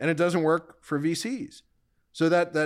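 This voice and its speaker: A man talks at a moderate pace. The recording is very clean, and the background is silent. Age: 50s. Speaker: venture capitalist. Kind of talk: casual chat. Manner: halting.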